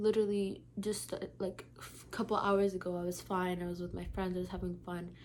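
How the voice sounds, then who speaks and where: Someone whispers at a fairly quick pace. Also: woman, hardly any pauses. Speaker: lifestyle vlogger. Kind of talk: casual vlog monologue. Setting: at home at night. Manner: whispering.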